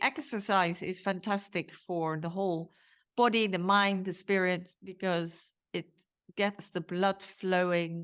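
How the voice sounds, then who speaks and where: With fairly even intonation, a woman talks fairly slowly. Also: medium pitch for a woman, very clean recording, silent background. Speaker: podcast host. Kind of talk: podcast interview.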